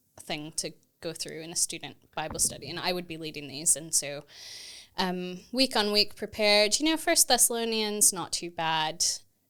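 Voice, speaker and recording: A woman with a Texan accent speaks at a fairly low pitch in a bright, sharp tone. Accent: American (Texan). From Texas, US. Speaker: theology lecturer. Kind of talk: podcast interview.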